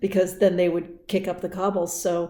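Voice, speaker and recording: This woman's voice is fairly low in pitch, with a dark, mellow tone. She talks at a moderate pace in a monotone, flat intonation. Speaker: vlogger. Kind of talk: casual vlog. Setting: outdoors. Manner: halting.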